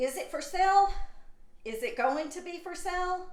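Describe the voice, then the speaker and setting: The room echo is audible as a woman speaks. Her pitch is high and her pace fairly slow. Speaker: YouTube channel host. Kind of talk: casual commentary video. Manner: stuttering.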